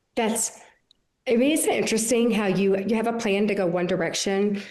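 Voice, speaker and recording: At a fairly quick pace, a woman with a medium pitch talks with ordinary pitch variation amid audible room echo. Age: 60s. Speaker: podcast host. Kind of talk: casual interview.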